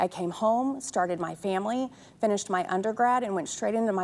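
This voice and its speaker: An ordinary speaking voice comes from a woman with an American accent. She talks fairly quickly at a medium pitch. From Texas, Fort Worth. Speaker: city council candidate. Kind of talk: opening statement at candidate forum.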